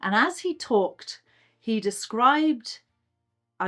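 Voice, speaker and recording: Music plays in the background. A woman speaks fairly slowly in a Dublin accent. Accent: Dublin Irish. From Ireland, Dublin. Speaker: churchgoer sharing faith story. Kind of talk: testimony.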